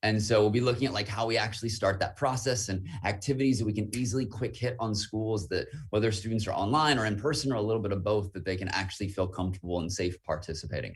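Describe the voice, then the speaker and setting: Somewhat breathy, a man with a fairly low pitch talks at a very fast pace with hardly any pauses and ordinary pitch variation. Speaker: student activities presenter. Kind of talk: casual interview.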